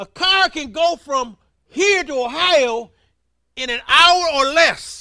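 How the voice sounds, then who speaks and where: In a raised, projected voice with a bright, sharp tone, a man speaks at a very slow pace and an extremely high pitch, with ordinary pitch variation and big swings in loudness. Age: 70s. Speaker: preacher. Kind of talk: sermon. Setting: church.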